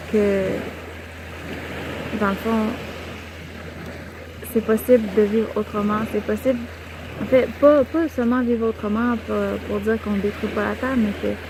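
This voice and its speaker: Over noticeable background noise, a woman speaks at a fairly slow pace with long, frequent pauses. Her intonation is fairly even. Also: fairly high pitch for a woman. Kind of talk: soft-spoken spiritual reflection to camera. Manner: soft-spoken, calm, whispery.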